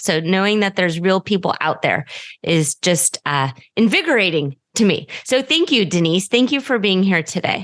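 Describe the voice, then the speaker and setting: A woman speaks at a fairly quick pace with lively intonation and a medium pitch. She has a plain, everyday voice. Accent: General American. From United States. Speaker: podcast host. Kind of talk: casual interview chat.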